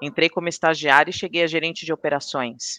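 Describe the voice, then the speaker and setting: A woman's fairly low, bright, sharp voice in a dry, close sound with no echo. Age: 40s. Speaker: pharmaceutical quality manager. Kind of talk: interview.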